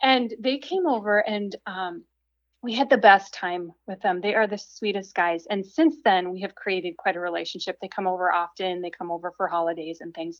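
A woman at medium pitch at a moderate pace, with ordinary pitch variation and big swings in loudness, an ordinary speaking voice. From Minnesota, small town. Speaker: writer and speaker. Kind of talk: casual interview chat.

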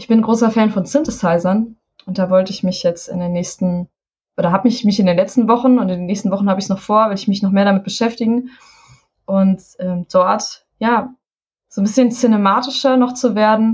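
A woman's somewhat breathy voice moves at a fairly quick pace. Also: medium pitch for a woman, fairly even intonation. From Hessen, Taunus. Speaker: musician. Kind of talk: casual interview.

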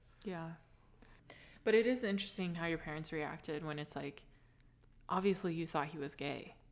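With long, frequent pauses and big swings in loudness, a woman speaks at a moderate pace in a fairly low voice with ordinary pitch variation. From California. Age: 20s. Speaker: podcast host. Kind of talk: casual interview chat.

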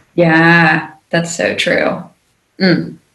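A woman with an American accent speaks at a fairly low pitch, and some room echo can be heard. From Charleston, South Carolina. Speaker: podcast host, dietitian. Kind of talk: interview conversation.

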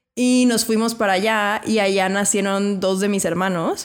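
A woman with a plain, everyday voice talks at a medium pitch and a fairly slow pace with ordinary pitch variation, in a very clean recording with a silent background. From Mexico City. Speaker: podcast host and teacher. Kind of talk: casual interview.

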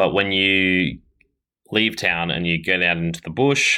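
A man speaks with an Australian accent in a very deep, low voice with a bright, sharp tone. The recording is very clean, with a silent background. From Australia, Ballarat, Victoria. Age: 20s. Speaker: racing cyclist. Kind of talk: interview. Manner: halting, many fillers.

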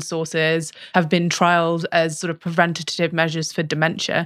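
In a British accent, a woman speaks at a fairly low pitch and a moderate pace on a very clean recording with a silent background. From Britain. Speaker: research scientist. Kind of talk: casual interview chat.

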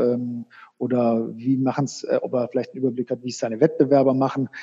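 At a fairly quick pace, a man speaks at medium pitch with a monotone, flat intonation. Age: 40s. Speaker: sports marketing sales manager. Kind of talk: interview. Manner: halting, many filler sounds.

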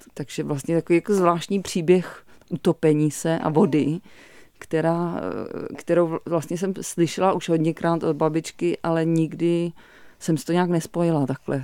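A woman speaks at a fairly slow pace in a fairly low pitch, her tone dark and mellow and her intonation monotone and flat. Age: 40s. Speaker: visual artist and lecturer. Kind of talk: radio interview. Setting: radio studio. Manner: halting, many fillers.

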